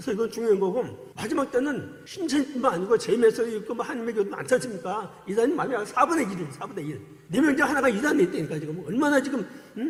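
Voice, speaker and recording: A man speaks at a very fast pace with an extremely high pitch. His tone is animated and his pitch swings very widely. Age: 60s. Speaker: former cult member giving testimony, church deacon. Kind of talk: testimony. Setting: church service.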